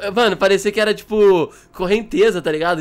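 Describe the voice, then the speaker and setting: The speaker is a man with a high-pitched voice. He talks at a moderate pace. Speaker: gaming YouTuber. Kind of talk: casual gameplay commentary. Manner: animated.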